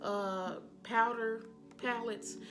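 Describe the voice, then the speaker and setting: Audible room echo surrounds the woman as she speaks. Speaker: beauty vlogger. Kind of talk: casual tutorial-style show and tell.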